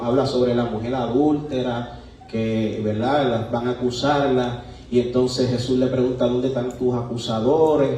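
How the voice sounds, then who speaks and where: A man talks at a moderate pace in a medium pitch. Noticeable background noise and audible room echo surround his voice. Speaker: preacher. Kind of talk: sermon. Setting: church.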